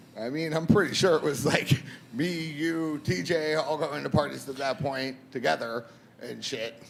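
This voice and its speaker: A man with a fairly high pitch speaks at a moderate pace with ordinary pitch variation. There is noticeable background noise. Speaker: DJ and silent disco company owner. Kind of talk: casual chat. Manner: soft-spoken.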